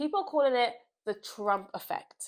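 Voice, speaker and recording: A woman speaks with a British accent. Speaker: political commentator. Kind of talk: political commentary vlog.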